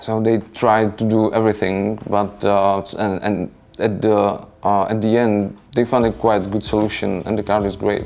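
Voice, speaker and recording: A man's fairly low voice with a non-native accent, monotone, flat intonation and hardly any pauses. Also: fairly slow pace. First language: non-native English speaker. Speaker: board game designer. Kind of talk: interview. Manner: halting, many fillers.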